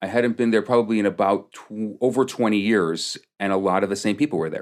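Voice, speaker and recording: A man speaks with a Chicago-area accent and ordinary pitch variation. The recording is very clean, with a silent background. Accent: Chicago-area American English. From US Midwest, Chicago suburbs (Des Plaines, Illinois). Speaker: rabbi / community leader. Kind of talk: podcast interview. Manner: halting, many fillers and repetitions.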